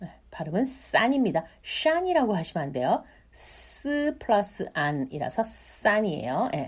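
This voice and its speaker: Woman's voice with vocal fry, very wide pitch swings, and a very slow pace. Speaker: Chinese language teacher. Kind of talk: tutorial. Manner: repeats words slowly for learners.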